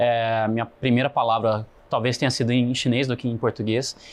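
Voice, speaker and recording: Over a quiet background, a man with a plain, everyday voice talks at a moderate pace in a medium pitch. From Brazil, Foz do Iguaçu area, then São Paulo. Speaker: podcast guest, business person. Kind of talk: interview conversation.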